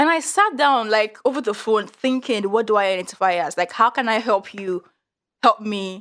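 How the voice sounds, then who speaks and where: Speaking at a moderate pace in a Nigerian accent, a woman uses a fairly high pitch, an animated tone and ordinary pitch variation. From Nigeria (Yoruba). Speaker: podcast guest. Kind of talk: casual chat.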